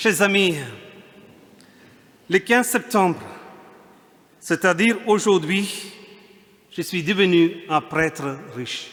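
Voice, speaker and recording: Over noticeable background noise, a man speaks at a very slow pace with long, frequent pauses. His pitch is high, with ordinary variation. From India. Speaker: priest. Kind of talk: sermon. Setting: church.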